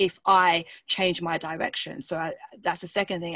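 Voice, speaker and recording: Speaking with a strong British accent at a moderate pace, a woman uses a fairly low pitch in a dry, close sound with no echo and a quiet background. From England, London. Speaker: pastor, singer and coach. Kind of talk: interview conversation. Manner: enthusiastic, animated.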